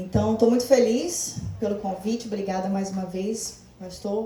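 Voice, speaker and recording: Noticeable background noise and audible room echo accompany a woman with a medium pitch and fairly even intonation. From Brazil, Rio de Janeiro. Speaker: life coach and therapist. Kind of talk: church talk / motivational lecture.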